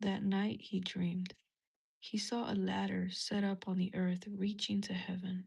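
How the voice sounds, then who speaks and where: Someone soft-spoken talks at a fairly slow pace. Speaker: religious content creator. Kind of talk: reading aloud.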